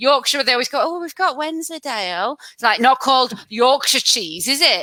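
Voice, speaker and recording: A high-pitched, raised and projected female voice with a bright, sharp tone, lively intonation, big swings in loudness and a moderate pace. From Lancashire, northern England. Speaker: podcast host. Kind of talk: casual chat. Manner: animated.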